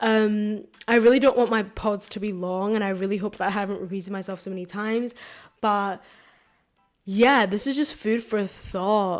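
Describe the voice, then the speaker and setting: A woman talks while music plays in the background. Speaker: podcast host. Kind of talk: solo podcast monologue. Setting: filmed podcast. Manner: fast.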